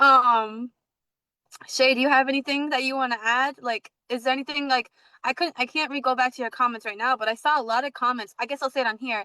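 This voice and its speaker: With an American accent, a woman speaks fairly quickly in a raised, projected voice, high-pitched with a bright, sharp tone and fairly even intonation, in a dry, close sound with no echo. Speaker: podcast host. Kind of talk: casual chat. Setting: livestream video call. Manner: fast; halting, filler-heavy.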